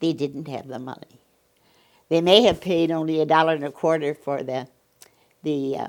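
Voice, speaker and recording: A woman with a Midwestern American accent speaks in a very deep, low voice with fairly even intonation and long, frequent pauses. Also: moderate pace, big swings in loudness. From US Midwest, northern Illinois. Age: 90s. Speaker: oral history narrator. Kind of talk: oral history interview. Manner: halting.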